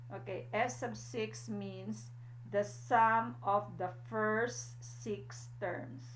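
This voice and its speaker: Speaking at a very slow pace, a woman is heard with audible room echo and noticeable background noise. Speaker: math teacher. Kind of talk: lecture. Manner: frequent fillers like okay and uh.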